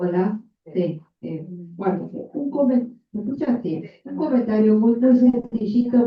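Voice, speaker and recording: Her voice fairly high and somewhat breathy, a woman speaks at a very slow pace with lively intonation. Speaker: psychoanalyst. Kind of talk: audience comment at seminar.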